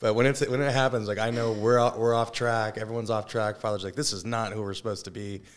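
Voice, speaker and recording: A man's medium-pitched voice at a very fast pace with hardly any pauses and fairly even intonation, in a very clean recording with a silent background. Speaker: high school football coach. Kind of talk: casual interview.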